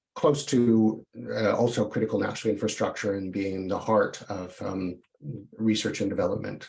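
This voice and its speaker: Vocal fry runs through the fairly low voice of a man with a Canadian accent. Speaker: tech company representative. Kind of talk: online presentation. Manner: halting, many fillers.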